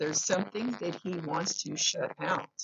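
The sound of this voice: The voice has a fairly bright tone, a slightly husky edge and vocal fry, with ordinary pitch variation and a moderate pace. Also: woman, fairly low pitch for a woman.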